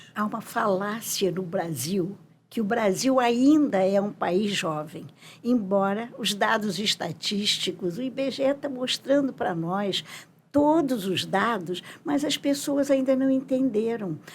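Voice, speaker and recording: Very slowly, a woman speaks in a somewhat breathy, fairly high voice with lively intonation. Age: 80s+. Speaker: psychologist and professor. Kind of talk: interview.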